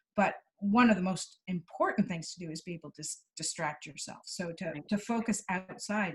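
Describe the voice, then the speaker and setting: A woman's somewhat breathy voice at medium pitch and moderate pace, with ordinary pitch variation, big swings in loudness, and hardly any pauses. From Canada. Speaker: clinical psychologist. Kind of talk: interview answer.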